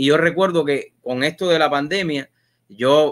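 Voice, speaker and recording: Quiet background behind a man with a fairly high pitch. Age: 40s. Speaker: TV and online show host; online show host. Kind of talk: live interview show. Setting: studio. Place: home room. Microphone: video call.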